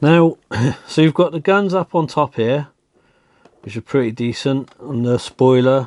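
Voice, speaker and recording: The speaker has a British accent and lively intonation. Long, frequent pauses break up the speech. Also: man, dry, close sound with no echo. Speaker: diecast toy collector and reviewer. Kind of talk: casual toy review, show-and-tell.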